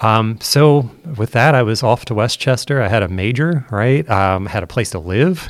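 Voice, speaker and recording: Here is a man with a plain, everyday voice and an American accent, speaking at medium pitch and a moderate pace. His intonation is lively, and the recording is very clean with a silent background. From southeastern Pennsylvania, US. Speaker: education futurist. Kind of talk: interview.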